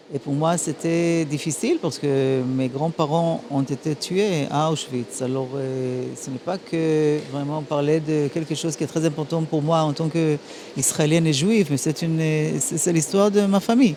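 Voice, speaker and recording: Noticeable background noise sits behind a woman with a very deep, low pitch and ordinary pitch variation. She talks at a fairly slow pace with hardly any pauses. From Transylvania, Romania, raised in Israel. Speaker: ambassador. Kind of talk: interview. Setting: gala dinner. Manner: halting.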